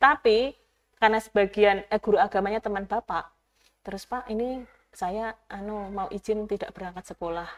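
A woman's intonation stays fairly even as she talks at a moderate pace. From Java, Gunung Kidul (Yogyakarta); Java. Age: 30s. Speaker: youth organization leader, former teacher; interview guest. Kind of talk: interview; interview answer. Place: studio. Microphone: lapel.

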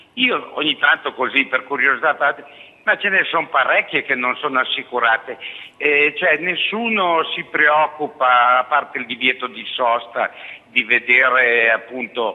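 A man talks with ordinary pitch variation. Noticeable background noise sits behind him. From Alessandria, northern Italy. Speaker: caller. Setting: phone call.

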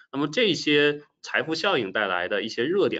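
A man speaks against a quiet background. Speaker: presenter. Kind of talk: webinar lecture. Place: home room. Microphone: webcam.

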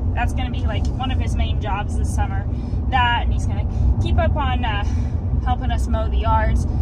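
Over loud background noise, a woman speaks with a dry sound and no echo. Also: ordinary pitch variation, moderate pace. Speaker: farmer vlogger. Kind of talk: casual vlog chat. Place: car. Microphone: phone near.

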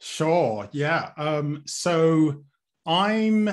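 With big pitch swings, a man talks at a very slow pace in a fairly high pitch for a man.

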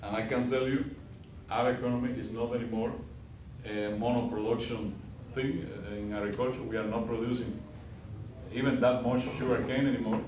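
A man speaks at a fairly quick pace in a Spanish accent, with long, frequent pauses and a monotone, flat intonation. Light background noise and audible room echo are present. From Cuba. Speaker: diplomat; guest. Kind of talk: guest lecture. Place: classroom.

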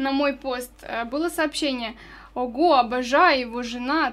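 At a moderate pace, a woman with a high-pitched voice speaks with fairly even intonation. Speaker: radio host. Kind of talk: radio interview. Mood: friendly, smiling. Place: studio. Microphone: studio mic.

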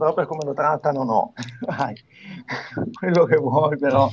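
A man talks fairly slowly, with ordinary pitch variation. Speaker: wrestling show panelist. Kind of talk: casual chat. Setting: video call. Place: home room. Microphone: video call.

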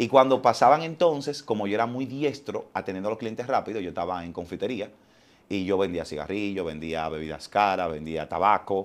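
This man speaks at a fairly quick pace. His fairly low pitch carries lively intonation. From Dominican Republic, Los Alcarrizos; Dominican Republic. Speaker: entertainer and TV presenter; TV presenter. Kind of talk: casual interview. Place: studio. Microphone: lapel.

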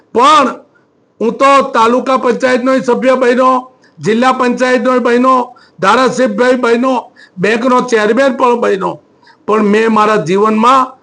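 Projecting a raised voice at an extremely high pitch, a man keeps very even loudness and fairly even intonation. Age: 60s. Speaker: politician, state legislator. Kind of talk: press statement to reporters. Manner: halting, many pauses.

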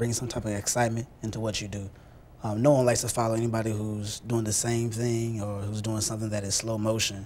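Over light background noise, a man rattles along at a very fast pace in a monotone, flat intonation. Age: young. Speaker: church youth leader. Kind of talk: interview. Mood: earnest, calm. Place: studio. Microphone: lapel.

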